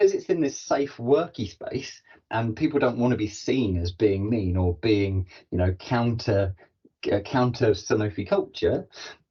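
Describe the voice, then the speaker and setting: Somewhat breathy, a man speaks at a medium pitch in an enthusiastic tone with lively intonation. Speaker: corporate podcast host and learning and development professional. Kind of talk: interview conversation. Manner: fast.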